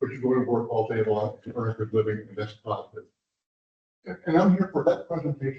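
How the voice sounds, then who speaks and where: The speech moves at a fairly quick pace. The voice is somewhat breathy. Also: man. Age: 80s+. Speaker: industrial developer speaking at public meeting. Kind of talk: public comment at municipal meeting. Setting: commission meeting room. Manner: halting.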